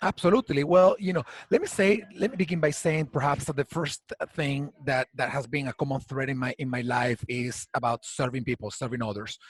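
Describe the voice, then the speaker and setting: Fairly high pitch from a man with a Venezuelan accent, somewhat breathy, with lively intonation at a fairly quick pace. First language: Spanish. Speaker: HR community founder. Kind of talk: interview. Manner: halting.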